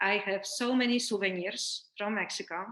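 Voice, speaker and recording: At a moderate pace, a woman with a fairly high pitch and a bright, sharp tone speaks with fairly even intonation. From Poland. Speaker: life coach. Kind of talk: interview.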